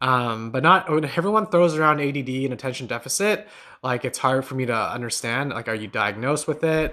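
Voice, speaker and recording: Over a quiet background, a man with a bright, sharp tone speaks at a fairly quick pace and medium pitch. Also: lively intonation. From Newfoundland, Canada (St. John's). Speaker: meditation teacher and podcast host. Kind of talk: live stream chat and Q&A. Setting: live stream from home on laptop. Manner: casual, filler-heavy with frequent repetitions.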